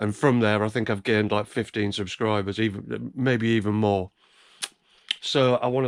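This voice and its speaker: A man with an English accent, fairly low-pitched, fairly even in intonation, at a fairly quick pace. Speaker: YouTube reseller vlogger. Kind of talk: casual vlog. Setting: indoors, dark room early morning. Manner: hesitant, many fillers; soft-spoken, trying to be quiet.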